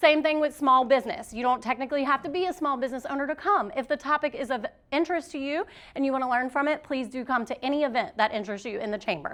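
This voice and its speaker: Ordinary pitch variation comes with a very fast pace of speech. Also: woman, high pitch for a woman. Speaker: chamber of commerce committee member. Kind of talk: event announcements.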